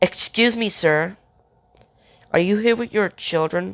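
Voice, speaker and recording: A raspy, put-on character voice at middle pitch delivers its lines at a fairly slow pace. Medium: read story.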